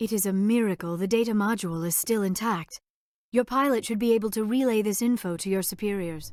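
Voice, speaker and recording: A woman's put-on character voice at a fairly quick pace in a very clean recording with a silent background. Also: medium pitch for a woman. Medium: video game. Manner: formal, precise.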